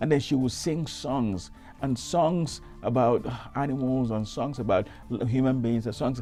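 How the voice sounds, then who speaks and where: A man with a Nigerian accent at a fairly slow pace, with music in the background. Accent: Nigerian Igbo English. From Isuikwuato, Abia State, Nigeria. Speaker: reverend. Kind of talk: interview answer.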